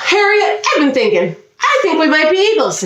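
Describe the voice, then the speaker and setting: A woman's squeaky, put-on character voice at extremely high pitch, moderate pace, and slight echo. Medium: read story.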